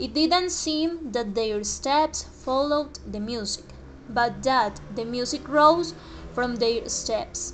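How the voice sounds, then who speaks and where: Speaking at a very slow pace, a woman uses a high pitch and lively intonation against noticeable background noise. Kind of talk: storytelling reading.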